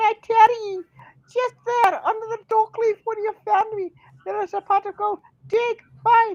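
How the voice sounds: This put-on character voice sits at an extremely high pitch and moves at a moderate pace. Its intonation stays monotone and flat.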